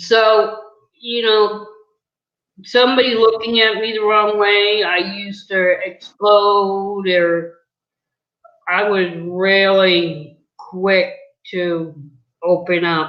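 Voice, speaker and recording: A woman with an American accent speaks very slowly, leaving long, frequent pauses. Her intonation is fairly even, and the room echo is audible. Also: medium pitch for a woman. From New England, US. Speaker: video interviewer, mother. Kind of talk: casual chat.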